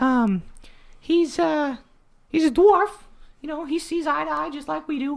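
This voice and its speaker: A man puts on a character voice. He pitches it extremely high. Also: very clean recording, silent background. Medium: actual play. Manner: easygoing, folksy.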